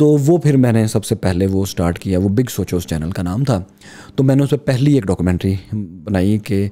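Here a man uses a fairly low pitch and a dark, mellow tone. He keeps a moderate pace with lively intonation. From Pakistan, Punjab (Okara district); Punjab, Pakistan. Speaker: YouTube educator and storyteller; podcast guest. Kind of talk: casual interview conversation. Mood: relaxed, nostalgic. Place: studio. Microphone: studio mic.

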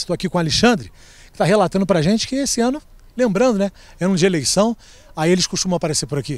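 In a dry recording with no echo, a man speaks at a high pitch. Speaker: street reporter. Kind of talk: field report. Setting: outdoors. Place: street. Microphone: handheld.

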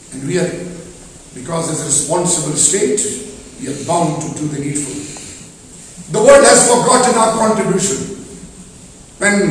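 With strong room echo and light background noise, a man speaks at a moderate pace with lively intonation and long, frequent pauses. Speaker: speaker. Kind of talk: formal speech. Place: hall. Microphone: podium.

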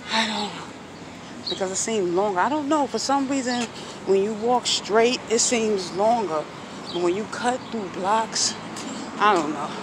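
Amid noticeable background noise, the speech comes at a fairly slow pace with long, frequent pauses and ordinary pitch variation, in a dry sound with no echo. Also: woman. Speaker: vlogger. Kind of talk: casual vlog chat. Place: street. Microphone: phone near.

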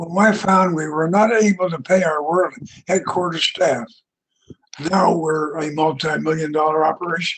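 A man with an American accent talks at a moderate pace, his high pitch held to fairly even intonation. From US West, Utah. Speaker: retired engineer and club speaker; speaker. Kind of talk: prepared speech. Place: home room. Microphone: headset.

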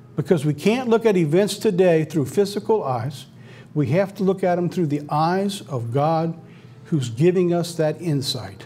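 His intonation rises and falls in a lively way. The man keeps to a moderate pace. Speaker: preacher. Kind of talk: sermon. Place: studio.

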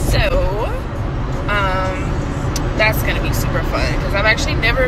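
A woman's voice, dry with no echo, against loud background noise. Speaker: vlogger. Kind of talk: casual vlog chat. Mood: excited, upbeat. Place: car. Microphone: phone near.

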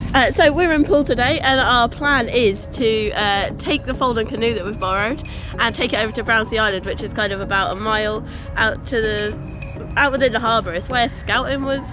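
Music plays clearly in the background as a woman talks at a fairly quick pace with ordinary pitch variation, in a dry sound with no echo. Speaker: adventure vlogger. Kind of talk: casual vlog chat. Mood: cheerful, upbeat. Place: waterside. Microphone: phone near.

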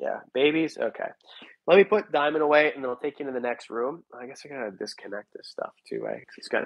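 Against a quiet background, a man talks at a very fast pace, his loudness swinging widely. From Canada. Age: 30s. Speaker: reptile breeder and YouTuber; YouTuber. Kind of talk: live stream chat. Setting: live stream from home. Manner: rambling, off-the-cuff. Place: home room. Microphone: earbuds.

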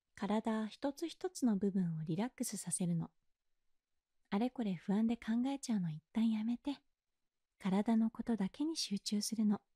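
A woman speaks at a fairly high pitch in a dark, mellow, gentle, soothing tone that is somewhat breathy. The sound is dry and close, with no echo. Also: lively intonation. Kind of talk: ASMR role-play, whispered comforting girlfriend-style sleep aid with guided relaxation. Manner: soft, gentle, soothing whisper with a slow, coaxing pace; affectionate and teasing, with occasional light laughs.

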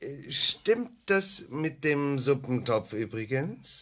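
A man's put-on character voice at a medium pitch, with big pitch swings, a slow pace, and a fairly bright tone

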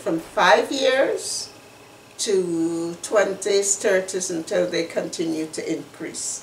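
Over light background noise and with audible room echo, a woman speaks at a very slow pace with ordinary pitch variation. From Guyana. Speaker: human rights activist and community association member. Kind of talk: educational presentation. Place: home room.

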